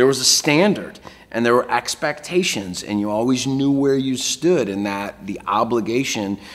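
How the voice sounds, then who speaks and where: This man talks at a moderate pace. His intonation is lively. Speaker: keynote speaker. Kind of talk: interview answer. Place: office. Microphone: lapel.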